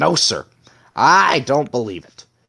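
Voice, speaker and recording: Putting on a raspy character voice, a man speaks at a medium pitch. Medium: read story. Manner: blustering, emphatic.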